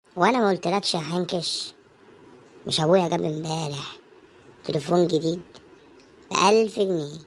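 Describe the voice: In a cartoonish character voice at a middle pitch, the speaker moves at a moderate pace with long, frequent pauses.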